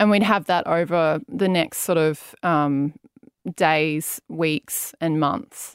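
A woman speaks very slowly at a very even loudness, her pitch fairly low, on a very clean recording with a silent background. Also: ordinary pitch variation. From Brisbane, Australia. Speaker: chief operating officer. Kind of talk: interview. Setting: studio.

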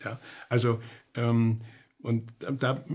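In an East German accent, a man speaks on a very clean recording with a silent background. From East Germany. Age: 70s. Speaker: psychotherapist and author. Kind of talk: interview. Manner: hesitant, many filler sounds.

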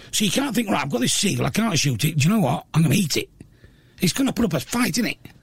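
A man with a Yorkshire accent races at a very fast pace, his high pitch making very wide swings. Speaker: radio host and comedian. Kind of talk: casual chat. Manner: talkative.

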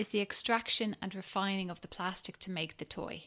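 A woman speaks in a Dublin accent at a moderate pace. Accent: Dublin Irish. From Ireland, Dublin. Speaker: founder of a toy-lending venture. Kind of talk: interview.

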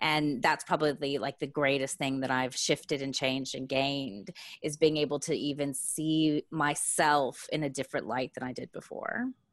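With an American accent, a woman with a very deep, low pitch talks at a moderate pace with hardly any pauses and fairly even intonation, over a quiet background. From Texas. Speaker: business coach. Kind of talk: podcast interview.

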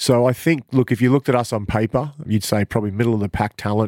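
With an Australian accent, a man speaks at a fairly quick pace in a very clean recording with a silent background. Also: dry, close sound with no echo. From Queensland, Australia. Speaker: basketball coach. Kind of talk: casual interview.

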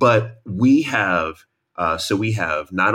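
This man has a New York accent and a fairly low pitch. His tone is animated and energetic. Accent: New York American. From New York, US. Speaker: author and matchmaker. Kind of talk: casual chat. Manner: animated, energetic.

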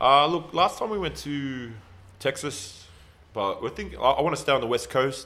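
With an Australian accent, this man talks at a moderate pace in a fairly high pitch, his tone bright and sharp and his intonation lively. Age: 40s. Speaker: retired professional basketball player and trainer. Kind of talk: casual interview chat.

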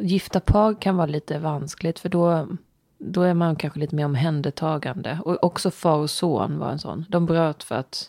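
A woman speaks with a dark, mellow tone and a very deep, low pitch. Her intonation stays fairly even over a very clean recording with a silent background. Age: 40s. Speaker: podcast co-host. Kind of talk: casual chat. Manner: soft-spoken.

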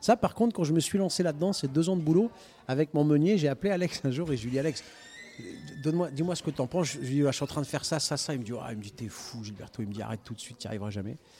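Over background music, a man with a fairly high pitch talks at a very fast pace, his intonation lively and his loudness swinging widely. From northern France (Denain), Italian parents. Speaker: restaurateur. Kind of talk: casual chat. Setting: live radio recording in a record shop.

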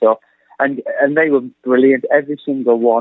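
A man with an English accent. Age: 30s. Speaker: film director. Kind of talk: radio interview.

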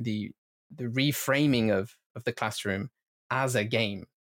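A man with a plain, everyday voice speaks at a medium pitch with ordinary pitch variation, and the sound is dry and close with no echo. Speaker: researcher and professor of language teaching with games. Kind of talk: interview conversation.

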